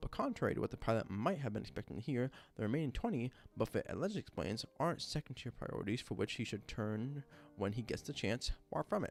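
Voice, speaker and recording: A man speaks with lively intonation. Music can be heard behind him. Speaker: live streamer. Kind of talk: reading aloud. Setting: late-night live stream.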